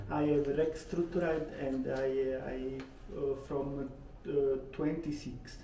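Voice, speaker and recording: In an Italian accent, a man with a fairly high voice speaks very slowly in a flat monotone with long, frequent pauses, amid noticeable background noise and audible room echo. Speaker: landlord. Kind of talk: casual chat. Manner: halting.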